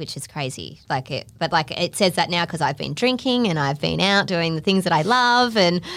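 With an Australian accent, the speaker uses lively intonation and vocal fry at a moderate pace on a very clean recording with a silent background. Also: woman. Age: 30s. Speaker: podcast host. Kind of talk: casual chat. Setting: studio.

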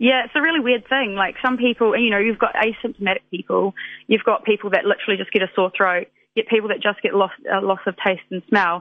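Speaking very fast with a New Zealand accent, a woman uses a fairly high pitch and ordinary pitch variation. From New Zealand, West Otago. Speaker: pediatric dietitian. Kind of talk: casual radio interview.

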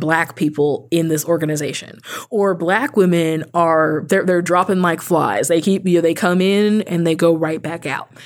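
Over a silent background in a very clean recording, a woman uses an ordinary speaking voice, fairly low in pitch, at a moderate pace. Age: 30s. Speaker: author and advocate minister. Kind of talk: interview conversation.

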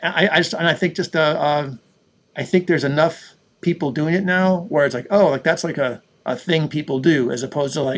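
Speaking at a fairly quick pace with a Western New York accent, a man uses a fairly high pitch and ordinary pitch variation on a very clean recording with a silent background. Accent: Western New York American. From US, Buffalo, New York. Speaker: audio plugin developer. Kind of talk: interview. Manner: hesitant, filler-heavy.

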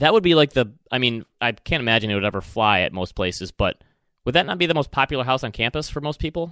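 Very fast and lively in intonation, the voice has a bright, sharp tone and a Michigan accent. The recording is very clean with a silent background. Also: man. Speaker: podcast host. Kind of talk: casual chat.

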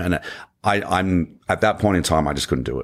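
Vocal fry runs through the speech of a man with an Australian accent. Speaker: motivational speaker and former navy diver. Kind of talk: interview.

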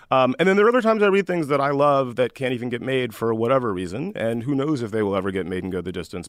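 His speech comes very fast, with lively intonation. The man's pitch is medium. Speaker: film industry executive, script list founder. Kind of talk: casual panel interview. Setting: studio.

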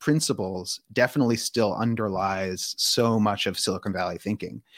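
With a Californian accent, a man of medium pitch talks at a moderate pace in a dry, close sound with no echo. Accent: General American (Californian). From US West Coast (Palo Alto, California). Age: 30s. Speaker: author. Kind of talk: interview.

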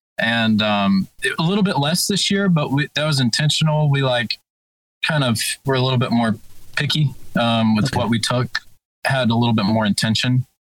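With an Alabama accent, a man talks at a fairly quick pace and very even loudness, using lively intonation and long, frequent pauses in a dry, close sound with no echo. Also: medium pitch for a man. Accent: Southern US (Alabama). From Birmingham, Alabama. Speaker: lead guitarist in a band. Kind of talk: casual chat.

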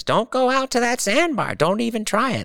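A man's put-on character voice at an extremely high pitch, delivered at a moderate pace. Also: ordinary pitch variation, dry, close sound with no echo. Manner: stern, warning.

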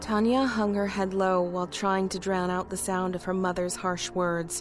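Someone is reading aloud in a natural voice. The words come through as read text.

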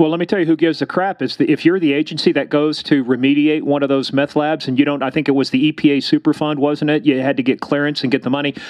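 With a Kansas accent, a man talks very fast in a fairly high voice, with hardly any pauses. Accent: sounds like Kansas. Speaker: podcast host, former police officer. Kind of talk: casual interview. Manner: animated.

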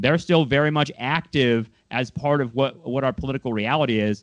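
The sound is dry and close, with no echo. A man with an American accent speaks at a fairly quick pace. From Southern California. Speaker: podcast host. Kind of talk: casual interview.

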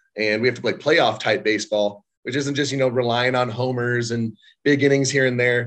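In a normal speaking voice, a man talks at a moderate pace and a medium pitch. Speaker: baseball catcher and co-host. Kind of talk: casual chat.

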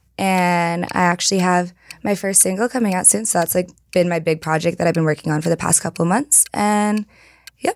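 A woman speaks at a fairly quick pace with a fairly low pitch and ordinary pitch variation, in a plain, everyday voice. Her loudness stays very even, and the sound is dry and close with no echo. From California. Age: 20s. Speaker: singer. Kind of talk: casual chat.

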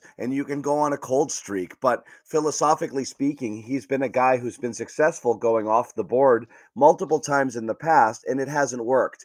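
With a plain, everyday voice, a man talks at a fairly quick pace at medium pitch with ordinary pitch variation, the sound dry and close with no echo. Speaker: sports podcast host. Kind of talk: casual sports talk.

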